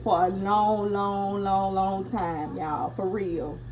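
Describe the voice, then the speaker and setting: Music plays in the background as a woman speaks at a fairly slow pace amid audible room echo. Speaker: beauty vlogger. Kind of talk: casual storytime and makeup tutorial. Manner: whispering.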